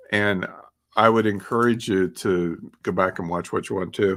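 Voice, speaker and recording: An ordinary speaking voice from a man of medium pitch, lively in intonation at a fairly slow pace. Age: 60s. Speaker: podcast host. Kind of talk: casual talk with slides.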